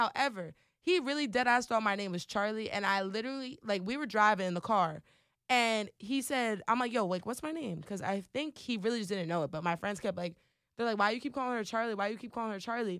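On a very clean recording with a silent background, a woman speaks at a very fast pace and a fairly high pitch, her tone animated and her intonation lively. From Trenton, New Jersey, US. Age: 20s. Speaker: radio station worker and new podcaster. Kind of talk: casual solo podcast intro chat, slangy. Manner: animated, chatty, informal slang.

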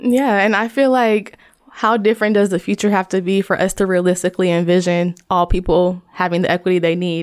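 In an American accent, a woman with a plain, everyday voice speaks at a fairly quick pace and medium pitch, with fairly even intonation and very even loudness on a very clean recording with a silent background. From Ohio, US Midwest. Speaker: design researcher and author. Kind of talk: podcast interview.

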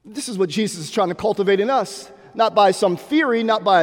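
An animated man with an American accent talks at a fairly quick pace, his high-pitched voice full of lively intonation. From Pittsburgh, Pennsylvania. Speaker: bishop. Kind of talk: sermon. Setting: church.

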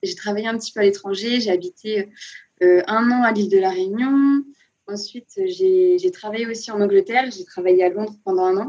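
A woman's fairly high voice with a dark, mellow tone, lively intonation and a moderate pace. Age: 20s. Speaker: nurse turned self-taught illustrator. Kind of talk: interview. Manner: enthusiastic, with frequent laughs.

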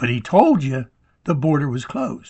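A man with an American accent speaks in a somewhat breathy voice with ordinary pitch variation. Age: 70s. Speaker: podcast host. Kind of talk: political monologue. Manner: hesitant, with fillers.

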